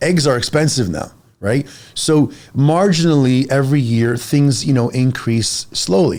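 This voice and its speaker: A man speaks in a fairly high pitch with an animated tone. His pitch varies in an ordinary way. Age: 40s. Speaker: fitness coach. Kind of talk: casual podcast conversation.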